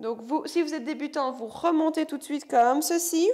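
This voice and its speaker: Ordinary pitch variation in a woman's speech, quiet background. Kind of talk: exercise class instruction, counting. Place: gym.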